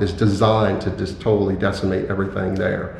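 Audible room echo and noticeable background noise surround a man whose fairly low voice moves at a fairly quick pace with fairly even intonation. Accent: American. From US, Philadelphia. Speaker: security specialist and trainer. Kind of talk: casual interview.

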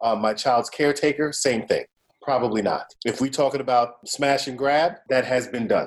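Speaking in an unremarkable speaking voice, a man keeps a medium pitch and fairly even intonation while moving at a moderate pace. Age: 50s. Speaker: podcast host. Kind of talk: casual chat.

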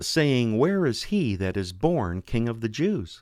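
A man speaks in a normal speaking voice at a medium pitch. His pace is fairly slow, and the recording is very clean with a silent background. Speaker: radio host. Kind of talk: religious radio show, scripture reading and interview. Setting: radio studio. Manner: formal, warm, earnest.

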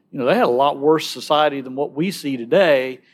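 Speaking in a Southern US accent, a man talks at a very fast pace. His pitch is fairly high and varies in an ordinary way. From Alabama. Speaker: pro-life ministry speaker. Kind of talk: conversational interview.

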